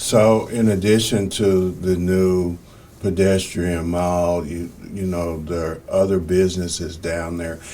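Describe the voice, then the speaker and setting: A man with a very deep, low pitch speaks very slowly in a flat monotone, his loudness swinging widely over noticeable background noise. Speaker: podcast host, newspaper publisher. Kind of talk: podcast interview questions.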